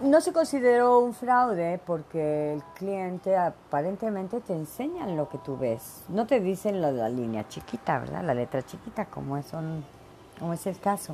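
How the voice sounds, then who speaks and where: A woman speaks at a fairly slow pace in a fairly low voice, her pitch swinging very widely over noticeable background noise. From Mexico, Veracruz. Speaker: podcast host. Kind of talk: casual monologue. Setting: home office. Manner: animated.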